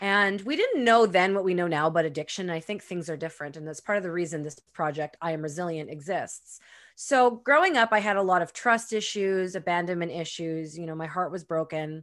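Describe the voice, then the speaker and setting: In an ordinary speaking voice, a woman with fairly low pitch and ordinary pitch variation talks at a fairly quick pace with hardly any pauses and big swings in loudness. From Canadian prairies, Winnipeg. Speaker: author and entrepreneur. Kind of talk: interview. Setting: video call.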